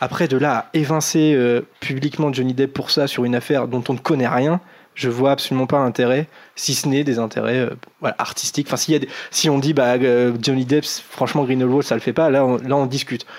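A man's medium-pitched voice, fairly quick, with very even loudness and monotone, flat intonation. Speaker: podcast host. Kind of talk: casual chat. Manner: talkative.

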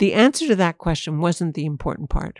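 A woman's voice with a dark, mellow tone comes through in a dry, close sound with no echo. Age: 60s. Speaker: ornithologist. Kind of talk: interview.

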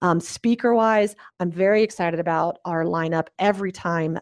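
A woman has an ordinary speaking voice, fairly low in pitch, at a moderate pace with fairly even intonation. The sound is dry and close, with no echo. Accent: American. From US South, small-town Alabama. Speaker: business founder and conference organizer. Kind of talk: interview.

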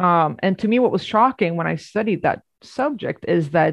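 A woman at medium pitch with a Swedish accent and lively intonation, moderate in pace, dry and close with no echo, quiet background. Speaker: journalist and author. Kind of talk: academic interview.

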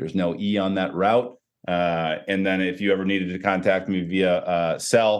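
The speaker has an American accent. Intonation stays fairly even. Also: man. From US Midwest, Chicago area. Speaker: sports technology executive, former football coach. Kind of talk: interview.

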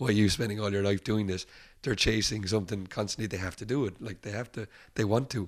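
In an Irish accent, this voice runs at a very fast pace with fairly even intonation, on a very clean recording with a silent background. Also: man. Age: 30s. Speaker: rock musician. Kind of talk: casual chat. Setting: upstairs at a bar.

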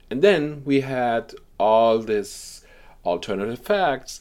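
With a German accent, a man talks at a medium pitch with very wide pitch swings on a very clean recording against a silent background. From Germany. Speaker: journalist. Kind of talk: interview. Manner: halting.

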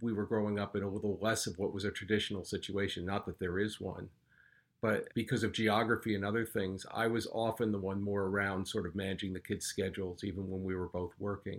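In a very clean recording with a silent background, a man uses a normal speaking voice, fairly low in pitch and fairly even in intonation, at a fairly quick pace. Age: 60. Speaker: retired finance worker, father. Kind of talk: casual chat.

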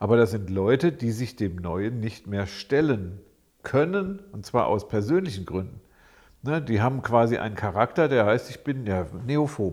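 Lively in intonation, a man with a plain, everyday voice talks at a medium pitch and moderate pace on a very clean recording with a silent background. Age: 60s. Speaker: psychologist, podcast co-host. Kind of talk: casual chat.

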